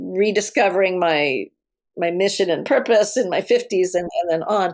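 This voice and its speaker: The recording is very clean, with a silent background. A woman with a medium pitch speaks at a moderate pace in an unremarkable speaking voice, with ordinary pitch variation. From United States. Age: 60s. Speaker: mentor and coach, former journalist. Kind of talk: interview conversation. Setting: podcast interview. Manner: casual, frank.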